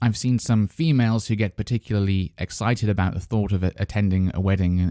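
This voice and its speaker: A man with a British accent talks at a fairly quick pace with hardly any pauses, his fairly low pitch showing ordinary variation and his tone dark and mellow. His loudness stays very even, and the sound is dry and close with no echo on a very clean recording with a silent background. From England. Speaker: podcast host, English teacher. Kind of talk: educational podcast monologue. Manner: hesitant, many fillers.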